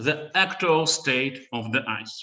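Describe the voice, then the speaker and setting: With a strong Russian accent, a man speaks at a fairly high pitch. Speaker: researcher. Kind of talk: conference talk. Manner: halting.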